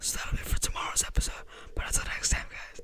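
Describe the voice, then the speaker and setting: A man whispers. He talks at a very fast pace. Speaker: photography vlogger / YouTuber; podcast or vlog host. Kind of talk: casual screen-recorded tutorial vlog. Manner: casual, rambling with fillers. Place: home room. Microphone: studio mic.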